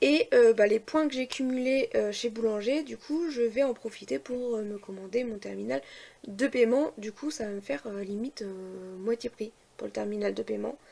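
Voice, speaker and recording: Speaking at a fairly slow pace, a woman uses a fairly high pitch and lively intonation. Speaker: family vlogger. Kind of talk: casual vlog talk. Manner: hesitant, many fillers.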